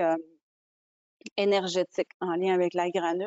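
A woman talks at a fairly slow pace. The sound is dry with no echo, over a quiet background. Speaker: business owner; webinar panelist. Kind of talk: webinar presentation. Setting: video call. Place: home room. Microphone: earbuds.

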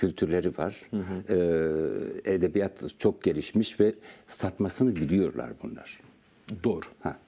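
A dark, mellow tone with vocal fry, ordinary pitch variation and a very slow pace. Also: man, very deep, low pitch for a man. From Turkey. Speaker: poet and writer; guest. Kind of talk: interview. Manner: halting. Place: studio. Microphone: lapel.

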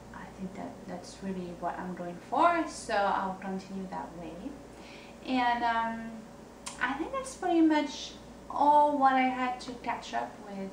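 A woman speaks with a French accent at a fairly high pitch, her voice swinging very widely. She talks at a fairly slow pace over light background noise and audible room echo. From France. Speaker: singer-songwriter. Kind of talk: video blog monologue. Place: home room. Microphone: camera far.

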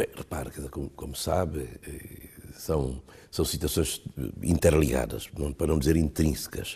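Pausing long and often, a man with a very deep, low pitch speaks at a fairly slow pace, his dark, mellow tone marked by vocal fry and fairly even intonation. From Guinea-Bissau. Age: 60s. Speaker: government minister. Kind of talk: interview. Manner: halting; formal. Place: home room. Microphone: lapel.

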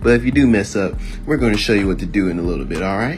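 A man's voice with very wide pitch swings, over music in the background. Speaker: amateur comedic voiceover narrator. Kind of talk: comedic voiceover of a beauty tutorial. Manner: casual, playful.

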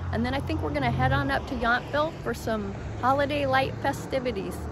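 A woman talks at a fairly quick pace. Noticeable background noise is present. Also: dry sound with no echo. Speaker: travel vlogger. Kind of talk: casual vlog chat. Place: garden. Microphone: phone near.

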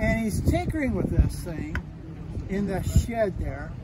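The speaker is a man, talking fairly slowly. Behind him, the background noise is loud. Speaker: museum demonstrator. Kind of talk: guided tour storytelling. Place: street. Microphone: phone near.

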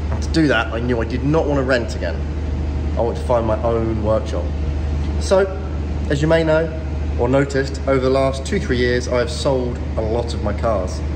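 Over noticeable background noise, a man with a very deep, low pitch keeps a moderate pace, broken by long, frequent pauses. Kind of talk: casual vlog chat. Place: workshop. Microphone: phone near.

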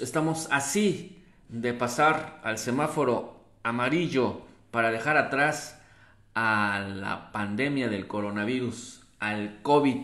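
Audible room echo surrounds a man's voice. The background is quiet. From Mexico City. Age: 50s. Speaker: local news presenter; local news host. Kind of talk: live news commentary and reading viewer comments. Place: home room.

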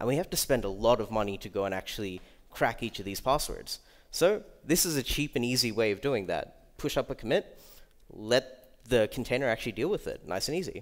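A man with an Australian accent, lively intonation and a fairly quick pace over a quiet background. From Australia, Melbourne. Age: 20s. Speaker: security researcher; conference speaker. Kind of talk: conference talk. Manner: casual. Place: hall.

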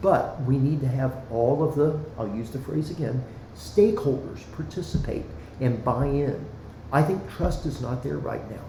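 Amid noticeable background noise and audible room echo, a man with a fairly high pitch speaks at a moderate pace. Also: ordinary pitch variation. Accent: American. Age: 60s. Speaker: former city councilman, school board candidate. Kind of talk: podcast interview. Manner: passionate, earnest.

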